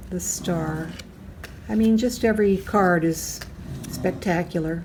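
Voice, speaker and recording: There is audible room echo around a woman's fairly low voice. She moves at a fairly slow pace with ordinary pitch variation. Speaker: tarot YouTuber. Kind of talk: casual video review. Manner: animated.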